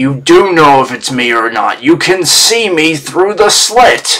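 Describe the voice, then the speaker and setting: A man speaks in a put-on character voice, fairly high-pitched and at a fairly slow pace. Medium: actual play. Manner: exasperated.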